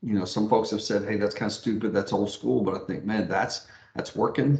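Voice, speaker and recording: A man's somewhat breathy voice at a fairly quick pace, with ordinary pitch variation. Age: 60s. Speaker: mortgage branch manager and pastor. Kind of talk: interview.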